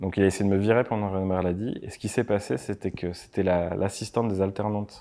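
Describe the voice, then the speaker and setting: A man speaks at a very fast pace with a dark, mellow tone and fairly even intonation. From France, Landes (Mont-de-Marsan); Landes, France. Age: 30s. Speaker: motion designer and production company owner; interview guest. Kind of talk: interview; interview answer. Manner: casual, halting. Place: studio.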